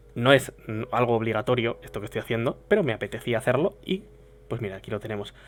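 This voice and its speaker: A man talking at a fairly quick pace. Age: 20s. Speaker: streamer. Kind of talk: casual chat. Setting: livestream.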